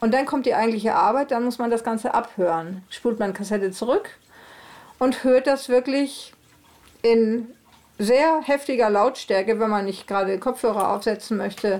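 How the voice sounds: Her voice is fairly high in pitch with a slightly mellow tone, as this woman speaks at a moderate pace with ordinary pitch variation.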